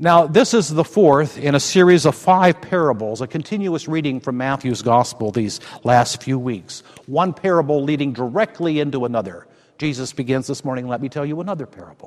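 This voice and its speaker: An unremarkable speaking voice from a man, fairly high in pitch, fairly quick, with lively intonation and big swings in loudness. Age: 60s. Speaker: pastor. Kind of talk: sermon.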